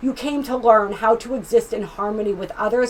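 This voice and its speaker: Noticeable background noise sits behind a woman talking at a fairly quick pace. Her pitch varies in an ordinary way. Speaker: tarot reader and astrologer. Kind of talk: tarot reading. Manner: fast; animated.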